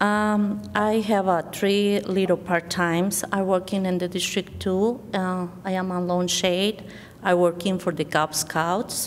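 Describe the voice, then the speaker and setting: A woman's fairly slow, monotone voice at a medium pitch, with a Spanish accent, flat intonation and hardly any pauses. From Mexico. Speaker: library board candidate. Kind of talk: candidate speech at public forum. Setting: school forum with audience. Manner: halting.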